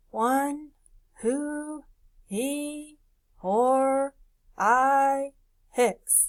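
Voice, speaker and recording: A put-on character voice, female-sounding and high-pitched for a woman. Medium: read story. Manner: grunting, clipped odd sounds.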